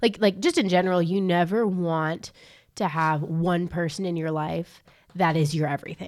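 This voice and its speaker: A woman speaks in a plain, everyday voice. It is fairly low and moves at a moderate pace. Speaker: college ministry podcast co-host. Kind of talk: casual chat and Bible discussion. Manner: bubbly, laughs a lot.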